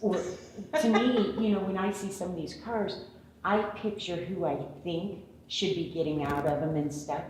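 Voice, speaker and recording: An unremarkable speaking voice from a woman, medium in pitch, with ordinary pitch variation at a moderate pace. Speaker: car show host. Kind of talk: interview question.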